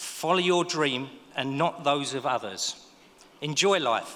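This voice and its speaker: Here is a man with a Cockney accent. His pitch is fairly high, with ordinary pitch variation. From East London (Dagenham). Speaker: business owner, ceremony speaker. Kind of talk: graduation speech. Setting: stage with audience.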